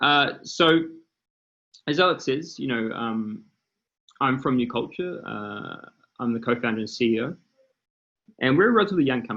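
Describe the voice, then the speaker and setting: A man with a New Zealand accent, medium-pitched and bright, sharp in tone, with lively intonation, a moderate pace and long, frequent pauses. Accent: New Zealand accent, noticeable. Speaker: startup founder and CEO. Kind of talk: panel presentation.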